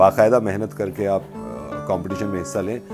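Clear music sits in the background behind a man's speech. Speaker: radio jockey. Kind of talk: interview answer, casual talk about alma mater. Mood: warm, earnest. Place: home room. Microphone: lapel.

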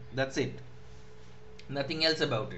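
A speaker with a Bengali accent is heard over noticeable background noise, with audible echo in the room. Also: man. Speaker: university English lecturer. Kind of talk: online lecture. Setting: online class. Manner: halting, many fillers.

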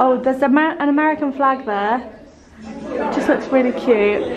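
Over noticeable background noise, a woman talks at a moderate pace and a high pitch, with ordinary pitch variation. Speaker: travel vlogger. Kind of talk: casual vlog chat. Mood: excited, cheerful. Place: hall. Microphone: phone near.

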